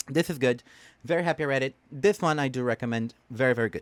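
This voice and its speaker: A man with a Portuguese accent at a fairly quick pace, in a very clean recording with a silent background. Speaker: book vlogger. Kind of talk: casual book review monologue. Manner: hesitant with many fillers.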